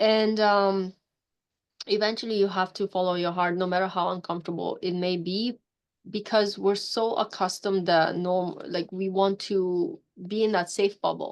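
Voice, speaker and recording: This woman talks at a medium pitch and a moderate pace. Her intonation is monotone and flat. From Poland. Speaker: mindset coach. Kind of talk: casual chat.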